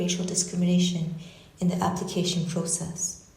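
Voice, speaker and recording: A woman speaks at medium pitch and a moderate pace with a Japanese accent. Room echo is audible, and there is noticeable background noise. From Canada. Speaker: artist and university researcher. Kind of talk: lecture reading a prepared text. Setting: lecture hall with audience and online stream. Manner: measured, reflective.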